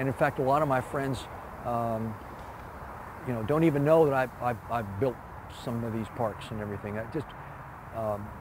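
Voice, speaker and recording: Amid noticeable background noise, a man talks with a medium pitch. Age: 70s. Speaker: retired park designer. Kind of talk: interview. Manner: halting, many fillers and repeats.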